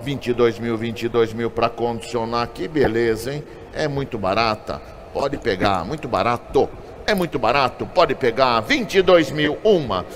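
An upbeat, fairly slow delivery with ordinary pitch variation over light background noise. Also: man, medium pitch for a man. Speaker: auctioneer. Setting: auction hall with live and online bidders. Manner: upbeat salesman patter, hyping lots. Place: market. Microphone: phone near.

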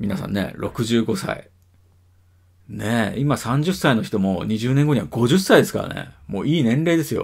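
Against a quiet background, a man talks at a moderate pace, somewhat breathy. His pitch swings very widely. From Japan. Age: 40s. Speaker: video blogger. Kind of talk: casual monologue. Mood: reflective, musing. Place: home room. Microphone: webcam.

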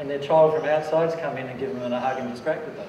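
Amid light background noise and audible room echo, a man talks at a fairly quick pace. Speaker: presenter. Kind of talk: lecture answering audience question. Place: hall.

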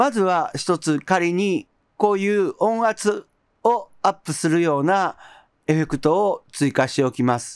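Over a quiet background, a man with a high pitch talks at a fairly slow pace, his calm tone carrying lively intonation, and the sound is dry with no echo. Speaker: music production YouTuber. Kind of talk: tutorial. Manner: calm and explanatory.

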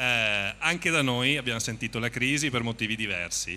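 Over light background noise, a man speaks in a bright, sharp tone. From Veneto, northern Italy (Treviso); Veneto. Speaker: company representative. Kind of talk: on-stage interview / promotional talk. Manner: improvised, slightly halting. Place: stage. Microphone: handheld.

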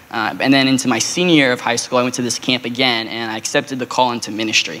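Very fast in pace, a man with an American accent talks at a medium pitch with fairly even intonation. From Arizona, Phoenix; Arizona. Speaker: youth pastor. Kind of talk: testimony; interview answer, testimony. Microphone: handheld.

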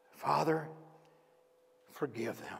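A man puts on a character voice. It sounds strained and raspy. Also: fairly high pitch for a man. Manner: pained, gentle.

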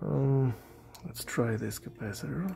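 A man talks at a very slow pace with a dark, mellow tone and a somewhat breathy quality. His pitch swings very widely over light background noise. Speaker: electronics hobbyist, radio amateur. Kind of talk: casual electronics tutorial talk to camera. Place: workshop.

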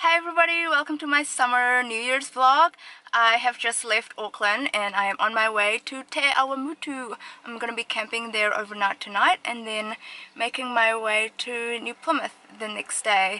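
This woman talks at a moderate pace with ordinary pitch variation. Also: dry sound with no echo. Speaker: travel vlogger. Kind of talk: casual vlog chat. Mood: cheerful, excited. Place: car. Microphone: phone near.

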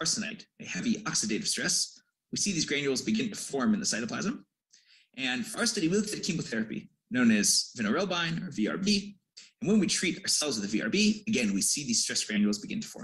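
A man with an American accent, high-pitched, very fast, with very wide pitch swings over a quiet background. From US Midwest, Detroit; Michigan. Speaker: PhD student. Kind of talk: scientific presentation. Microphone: video call.

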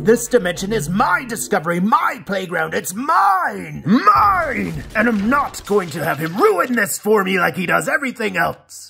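A man speaks in a raised, projected voice at a high pitch and a moderate pace. His pitch swings very widely, and background noise is clear. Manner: ranting, possessive, frantic.

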